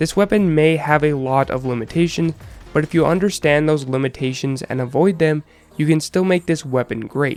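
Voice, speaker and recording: Over music in the background, a man talks at a moderate pace with a fairly high pitch for a man. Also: ordinary pitch variation. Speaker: gaming YouTuber. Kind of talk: game tutorial commentary. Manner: clear, explanatory.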